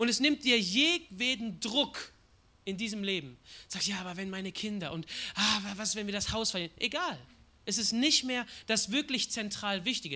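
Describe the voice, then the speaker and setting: A man's raised, projected voice, high in pitch and bright and sharp in tone, at a moderate pace. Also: lively intonation. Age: 20s. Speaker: guest preacher. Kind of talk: sermon.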